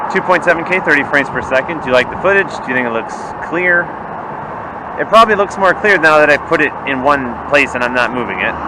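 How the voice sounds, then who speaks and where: A man talks at a very fast pace in a fairly high pitch with lively intonation, over noticeable background noise. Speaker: product reviewer. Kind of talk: product test vlog. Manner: loud. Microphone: built-in action camera mic, distorts when loud.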